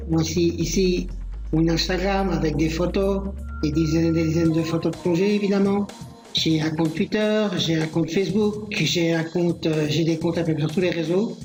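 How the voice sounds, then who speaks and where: With music in the background and audible room echo, a man talks at a moderate pace in a high pitch, his intonation fairly even and his loudness very even. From Belgium. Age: 50s. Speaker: diving instructor. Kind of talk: self-presentation with screen tour.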